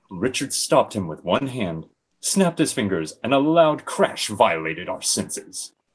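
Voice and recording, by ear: In a natural voice, the speaker reads aloud while the background stays quiet.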